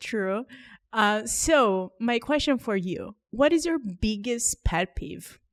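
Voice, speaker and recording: A woman with a non-native accent, fairly high in pitch, at a very slow pace with lively intonation, in a very clean recording with a silent background and a dry, close sound with no echo. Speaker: podcast host. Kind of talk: casual chat.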